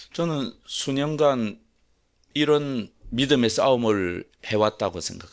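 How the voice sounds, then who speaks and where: A man's intonation is lively. He speaks at a very slow pace. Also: medium pitch for a man. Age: 60s. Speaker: pastor. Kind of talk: sermon.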